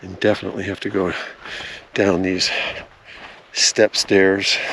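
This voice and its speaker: Against noticeable background noise, a man with a fairly low voice talks at a moderate pace. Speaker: RV travel vlogger. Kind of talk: hiking vlog narration. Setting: outdoors on a hiking trail. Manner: casual, conversational; speaking quietly.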